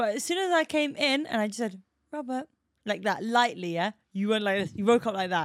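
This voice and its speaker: A woman's unremarkable speaking voice, fairly high in pitch, with lively intonation and a fairly quick pace, in a very clean recording over a silent background. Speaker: podcast co-host. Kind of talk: casual chat podcast. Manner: laughs often, banter.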